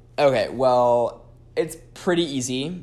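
A man speaks with lively intonation at a medium pitch. He has a plain, everyday voice. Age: 20s. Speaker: sex worker and content creator. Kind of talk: casual chat.

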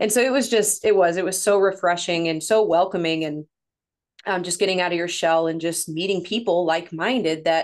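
A woman with a Midwestern accent, fairly low in pitch with ordinary pitch variation, at a fairly quick pace against a quiet background. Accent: Midwestern, slight northern sound. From Missouri, near St. Louis. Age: 30s. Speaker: women's coach, former nurse. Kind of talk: casual interview chat.

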